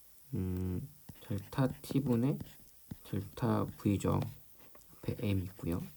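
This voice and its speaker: A man speaks at a very slow pace with long, frequent pauses. His fairly low voice is somewhat breathy, with a dark, mellow tone. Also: ordinary pitch variation. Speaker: high school physics teacher. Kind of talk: lecture. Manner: hesitant, many fillers.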